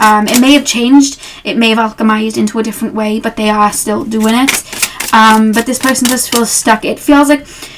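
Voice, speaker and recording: Over noticeable background noise, a woman talks with hardly any pauses, her fairly high voice holding a fairly even intonation. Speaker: tarot reader. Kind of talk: casual talk to camera. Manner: chatty, rambling.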